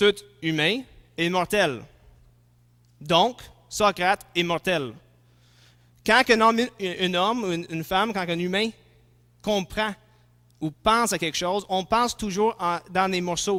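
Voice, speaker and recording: A man's high, raised, projected voice at a very slow pace with long, frequent pauses and ordinary pitch variation, in a very clean recording with a silent background. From English-speaking. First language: English (speaking French). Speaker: philosophy and theology lecturer. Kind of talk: lecture. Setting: conference talk before audience. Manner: halting, with fillers and restarts.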